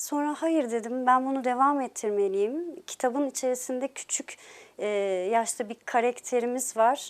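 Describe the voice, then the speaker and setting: A woman with a high pitch speaks at a moderate pace with ordinary pitch variation. The recording is very clean, with a silent background. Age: 40s. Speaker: novelist. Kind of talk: interview. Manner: hesitant, many filler sounds.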